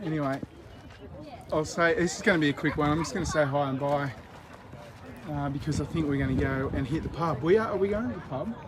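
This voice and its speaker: A fairly high-pitched man talks at a very fast pace with ordinary pitch variation, broken by long, frequent pauses. The room echo is audible, and background noise is noticeable. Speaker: independent news channel host. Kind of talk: casual live vlog chat. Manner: speaking quietly.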